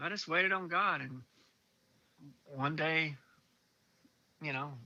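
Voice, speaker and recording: Against a quiet background, a man with a fairly high pitch and a bright, sharp tone speaks at a moderate pace with ordinary pitch variation. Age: 60s. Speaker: drummer. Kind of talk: interview. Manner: halting.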